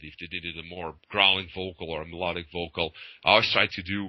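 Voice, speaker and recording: Over a quiet background, a man with a Portuguese accent speaks at a fairly quick pace in a bright, sharp tone. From Portugal. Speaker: metal band vocalist. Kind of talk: interview. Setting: video call. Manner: hesitant, many fillers.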